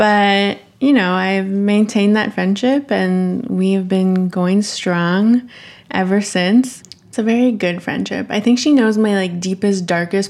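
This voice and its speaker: At a fairly slow pace, a normal speaking voice comes through with ordinary pitch variation. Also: woman. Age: 20s. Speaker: podcast co-host. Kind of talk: casual chat.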